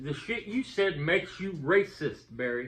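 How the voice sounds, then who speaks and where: A man's voice is heard against noticeable background noise. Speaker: YouTuber. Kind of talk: heated debate. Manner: halting.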